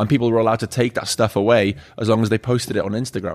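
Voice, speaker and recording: A man with a Welsh accent talks very fast at a fairly low pitch with fairly even intonation, in a very clean recording with a silent background. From Wales. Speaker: bar owner. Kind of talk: casual chat. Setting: bar.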